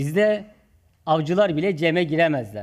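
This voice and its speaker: A man talks in a high pitch with lively intonation. The recording is very clean and the background silent. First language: Zazaki (Kirmanjki) (speaking Turkish). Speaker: community organization leader. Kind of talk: conference speech.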